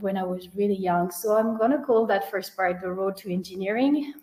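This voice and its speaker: Someone speaks with a French accent and ordinary pitch variation. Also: woman. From France. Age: 30s. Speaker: engineer and founder. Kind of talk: webinar talk. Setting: online webinar.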